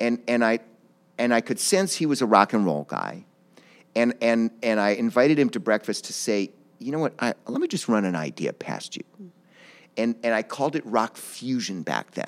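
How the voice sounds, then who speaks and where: A man uses a plain, everyday voice with an American accent, medium in pitch and moderate in pace. His intonation is lively, and the sound is dry and close with no echo. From Ohio, US Midwest. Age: 50s. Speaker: orchestra conductor. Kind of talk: interview. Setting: theater.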